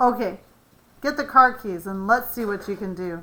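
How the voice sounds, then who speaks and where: A put-on character voice from a woman at medium pitch. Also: moderate pace, ordinary pitch variation. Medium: read story.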